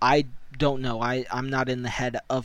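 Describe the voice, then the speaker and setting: An American accent marks a man's unremarkable speaking voice, medium in pitch and fairly slow in pace. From United States. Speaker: podcast host. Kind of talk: solo podcast commentary.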